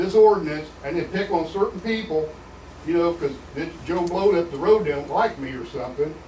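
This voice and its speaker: With an American accent, a man speaks at a moderate pace and a high pitch. Room echo is audible, along with noticeable background noise. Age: 60s. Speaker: resident speaking at public meeting. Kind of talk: public comment at county meeting. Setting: county commissioners meeting. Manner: animated.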